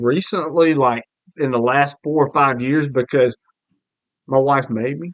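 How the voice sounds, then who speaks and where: Speaking at a moderate pace, a man with a Southern US accent uses a fairly high pitch. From US South, Alabama (Mobile). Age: 40s. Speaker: podcast host. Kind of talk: casual chat.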